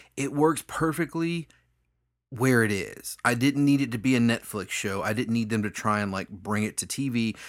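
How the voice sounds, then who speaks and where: In a very clean recording with a silent background, a man with an ordinary speaking voice talks at a medium pitch with ordinary pitch variation. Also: moderate pace. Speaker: podcast co-host. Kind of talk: casual chat.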